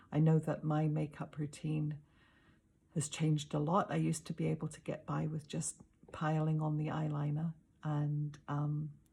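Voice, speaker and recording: The delivery moves at a moderate pace with a monotone, flat intonation. The voice is somewhat breathy. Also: woman, very deep, low pitch for a woman. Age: 60s. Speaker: makeup tutorial presenter. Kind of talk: casual talk to camera. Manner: self-deprecating, hesitant.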